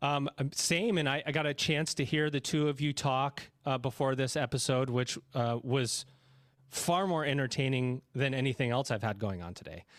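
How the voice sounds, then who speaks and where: This man has an ordinary speaking voice with an American accent, medium in pitch and ordinary in pitch variation. He talks at a moderate pace on a very clean recording with a silent background. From New York. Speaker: podcast host. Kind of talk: podcast interview.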